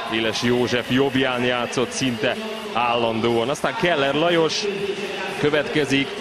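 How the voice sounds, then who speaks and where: Speech at a fairly slow pace in a dry sound with no echo, over loud background noise. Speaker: sports commentator. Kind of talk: live commentary. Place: stadium.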